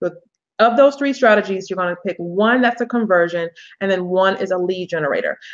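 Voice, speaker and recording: A woman's medium-pitched voice has an animated tone and lively intonation. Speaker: business coach. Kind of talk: webinar presentation. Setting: online webinar. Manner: fast.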